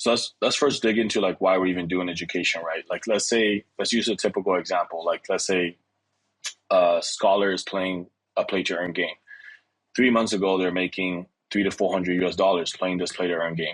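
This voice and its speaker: With a French accent, a man speaks at a fairly quick pace in a very deep, low pitch with fairly even intonation. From DR Congo, Kinshasa. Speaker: start-up CEO. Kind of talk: interview. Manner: casual, with many fillers.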